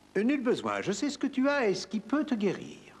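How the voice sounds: Putting on a cartoonish character voice, a man speaks at high pitch with a slightly husky edge. His pitch swings very widely. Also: moderate pace.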